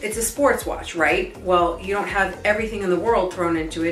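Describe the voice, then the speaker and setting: A woman at a moderate pace, with ordinary pitch variation, light background noise and audible room echo. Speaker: guest. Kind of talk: product review talk. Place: home room.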